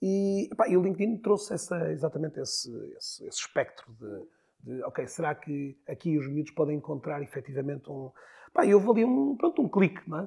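On a very clean recording with a silent background, a man speaks at a fairly quick pace in a high pitch, his dark, mellow tone marked by lively intonation and big swings in loudness. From northern Portugal, Porto. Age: 40s. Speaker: LinkedIn consultant. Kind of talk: interview. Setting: studio.

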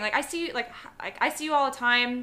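A woman's bright, sharp, raised and projected voice with an American accent, at a fairly quick pace. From Chicago, US Midwest. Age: 30s. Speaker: bride-to-be interviewee. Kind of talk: interview.

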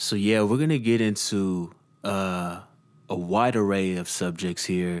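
The recording is very clean, with a silent background. A man with a fairly low pitch speaks in an ordinary speaking voice. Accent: American. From Texas, Dallas. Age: 20s. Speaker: music producer and podcast host. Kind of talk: solo podcast monologue. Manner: casual, relaxed.

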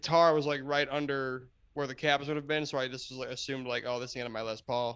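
Monotone, flat delivery at a fairly quick pace in an American accent, on a very clean recording with a silent background. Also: man. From New Jersey. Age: 20s. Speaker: band musician. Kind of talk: casual chat. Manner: halting.

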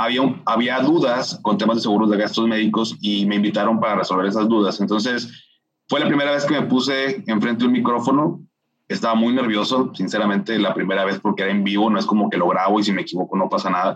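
The speaker is a man at a medium pitch. He talks at a very fast pace. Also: ordinary pitch variation. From Mexico, Monterrey. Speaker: finance specialist and entrepreneur. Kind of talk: interview.

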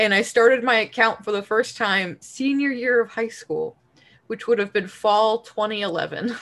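A woman with an American accent and a normal speaking voice talks at a fairly high pitch and fairly slow pace, her intonation fairly even, in a very clean recording with a silent background. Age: 20s. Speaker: podcast co-host. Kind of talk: casual chat.

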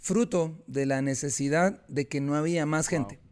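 This very clean recording captures a man talking with nothing in the silent background. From Guatemala. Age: 40s. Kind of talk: interview testimony.

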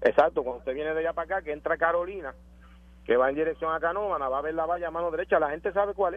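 A man talks at a very fast pace in a high voice. His pitch varies in an ordinary way. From Puerto Rico. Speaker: caller. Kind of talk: call-in radio conversation.

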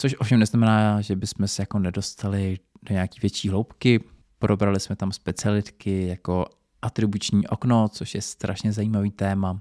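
On a very clean recording with a silent background and a dry, close sound with no echo, a man with a fairly low pitch and dark, mellow tone speaks at a moderate pace in a monotone, flat intonation. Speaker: podcast host. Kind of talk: solo podcast monologue. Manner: casual.

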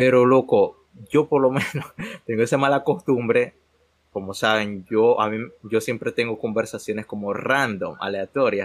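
Using an ordinary speaking voice, a man of medium pitch talks at a fairly slow pace with fairly even intonation. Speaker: podcast co-host. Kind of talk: casual chat.

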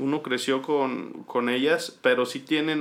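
Very slow pace and fairly even intonation from a man. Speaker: podcast host. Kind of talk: casual chat.

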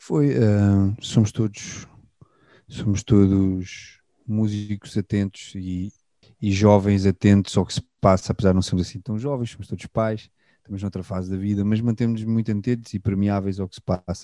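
The recording has a dry, close sound with no echo and a quiet background, and on it a fairly low-pitched man talks at a moderate pace in a dark, mellow tone with fairly even intonation. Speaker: musician, band guitarist. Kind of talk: interview conversation. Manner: halting, repeats words.

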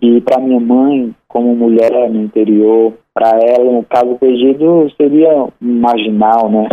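A man's medium-pitched voice at a fairly slow pace, with hardly any pauses, fairly even intonation and very even loudness. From Sobral, Ceará, Brazil. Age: young. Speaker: writer. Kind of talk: radio interview. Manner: halting.

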